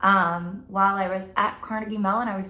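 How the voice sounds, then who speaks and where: A woman with a New Jersey accent talks fairly slowly in a bright, sharp tone at a medium pitch, with ordinary pitch variation. Audible room echo surrounds her voice. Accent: New Jersey American. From New Jersey, Middlesex County. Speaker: college instructor. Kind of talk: casual class introduction video. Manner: casual, many filler words.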